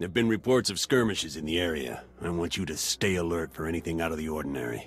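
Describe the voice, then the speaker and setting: A man's raspy, very deep put-on character voice at a very fast pace. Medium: video game.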